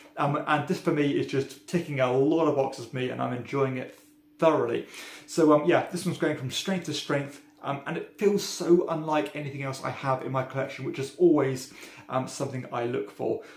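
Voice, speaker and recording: Someone talks at a fairly quick pace with fairly even intonation over noticeable background noise. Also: man, fairly high pitch for a man. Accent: British. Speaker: board game reviewer. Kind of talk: casual review monologue. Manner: frequent filler ums.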